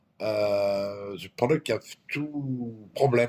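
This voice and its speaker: A man with a French accent. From France. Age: 60s. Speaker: company owner. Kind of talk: interview. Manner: halting.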